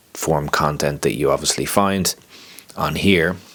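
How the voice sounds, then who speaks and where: Over noticeable background noise, a man with an Irish accent speaks with ordinary pitch variation. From Ireland, County Wicklow. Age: 30s. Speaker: life coach and content creator. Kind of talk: casual vlog monologue.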